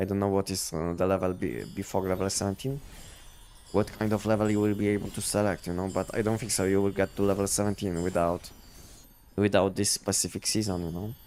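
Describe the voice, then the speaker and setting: At a very fast pace, a man with a Polish accent speaks in a dark, mellow tone, his fairly low pitch following fairly even intonation. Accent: Polish accent, thought Russian by viewer. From Poland. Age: 50s. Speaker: gaming streamer. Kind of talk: live stream commentary. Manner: halting, many repetitions and fillers.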